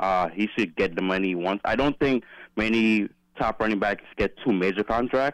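A normal speaking voice from a man with an American accent, fairly low pitch, fairly quick pace and ordinary pitch variation, in a dry, close sound with no echo. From Philadelphia. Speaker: caller. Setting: phone call.

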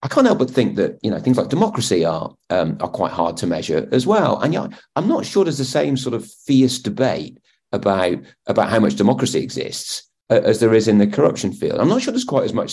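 Barely pausing, a man speaks at a very fast pace. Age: 40s. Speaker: politics professor and podcast host. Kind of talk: casual chat.

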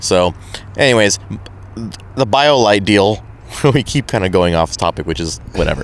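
Lively intonation at a moderate pace with an American accent, long, frequent pauses, and noticeable background noise. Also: man, fairly low pitch for a man. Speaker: podcast host. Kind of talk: casual chat. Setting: live at expo event.

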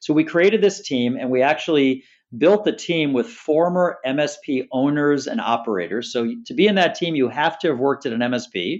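Delivered with hardly any pauses, the speech has lively intonation and an American accent in a normal speaking voice. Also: man, fairly high pitch for a man. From Chicago, US Midwest. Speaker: tech sales executive. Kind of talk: interview.

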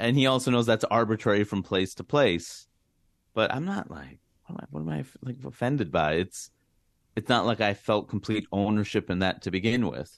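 In an American accent, a man speaks with an unremarkable speaking voice at fairly low pitch. His intonation is lively, the pace moderate and the background quiet. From US, Queens, New York. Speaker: comedian. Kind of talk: interview.

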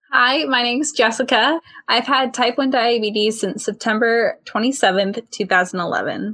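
An unremarkable speaking voice goes at a fairly slow pace with hardly any pauses. Its pitch variation is ordinary. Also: woman, fairly high pitch for a woman. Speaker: podcast co-host. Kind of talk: podcast hosting, intro and outro.

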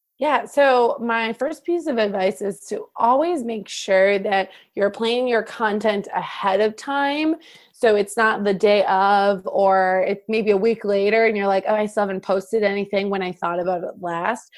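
In a very clean recording with a silent background, a woman with a slight Midwestern US accent talks at a moderate pace, her medium-pitched voice showing ordinary pitch variation. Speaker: wedding photographer and business mentor. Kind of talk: casual interview chat.

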